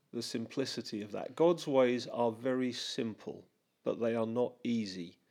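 With a dark, mellow tone, a man speaks at medium pitch and a moderate pace, using ordinary pitch variation. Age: 50s. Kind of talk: casual chat.

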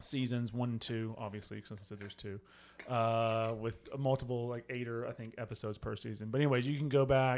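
A man's normal speaking voice, medium in pitch and fairly quick in pace, on a very clean recording with a silent background. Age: 40s. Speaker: church podcast host, pastor. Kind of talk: casual chat; podcast promo. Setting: studio with microphones.

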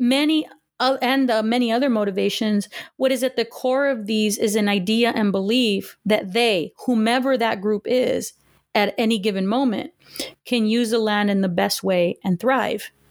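In an American accent, a woman with an unremarkable speaking voice talks at a moderate pace, her fairly high pitch showing ordinary variation. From Southern California, Los Angeles area. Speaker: history professor. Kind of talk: interview.

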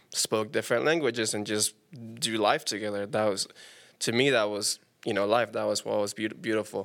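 The speaker has a Spanish accent and moves at a fairly quick pace with ordinary pitch variation. The recording is very clean, with a silent background. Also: man, fairly low pitch for a man. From Panama. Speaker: musician. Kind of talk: casual chat.

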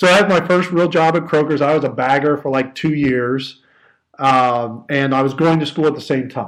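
A man in a Midwestern American accent talks at a moderate pace with a fairly high pitch and ordinary pitch variation. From southern Ohio. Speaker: leadership coach and trainer. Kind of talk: interview.

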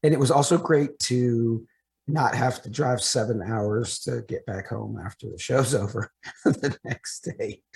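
A man with vocal fry speaks fairly slowly at a medium pitch with ordinary pitch variation and big swings in loudness, in a dry, close sound with no echo. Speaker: wrestling podcast co-host. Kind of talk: casual chat.

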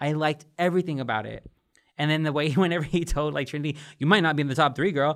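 A man speaks at a fairly high pitch. The recording is very clean, with a silent background. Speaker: podcast host and editor. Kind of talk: casual chat recap. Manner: fast talker, poor enunciation.

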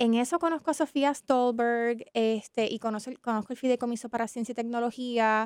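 In a very clean recording with a silent background and a dry, close sound with no echo, a woman speaks quickly-ish, at a fairly quick pace, in a high pitch. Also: hardly any pauses. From Puerto Rico, San Juan. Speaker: business ecosystem professional. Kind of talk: interview.

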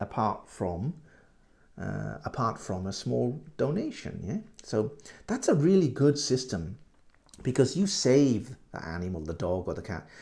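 In a dark, mellow tone with vocal fry, a man of medium pitch speaks with very wide pitch swings and big swings in loudness. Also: fairly slow pace. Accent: British. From UK. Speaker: English teacher. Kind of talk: language lesson podcast. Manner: halting, many repeats and fillers; slow, clear for learners.

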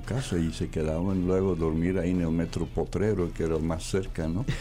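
Intonation stays fairly even at a moderate pace. The room echo is audible. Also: man. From Belgium. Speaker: former club owner. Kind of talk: radio interview. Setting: studio.

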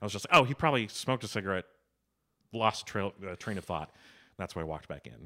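A man at a very fast pace with a fairly low pitch, a bright, sharp tone, lively intonation, big swings in loudness and long, frequent pauses, in a very clean recording with a silent background. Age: 30s. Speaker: improviser and actor. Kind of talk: casual chat. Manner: loud laugh.

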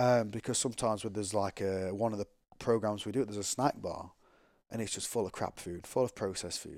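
Speaking very fast in an English accent, a man with a fairly low pitch is heard on a very clean recording with a silent background. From England. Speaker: former pro rugby player. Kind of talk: casual interview.

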